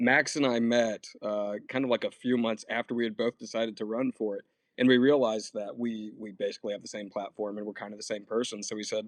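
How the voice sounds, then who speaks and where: A man with a medium pitch talks at a very fast pace with hardly any pauses. His intonation is monotone and flat, and the sound is dry and close with no echo. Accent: American. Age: 30s. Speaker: congressional candidate. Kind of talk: panel discussion.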